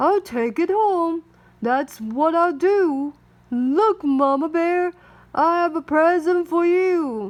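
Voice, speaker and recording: A put-on character voice at a very slow pace against a quiet background. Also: woman, extremely high pitch for a woman. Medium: read story.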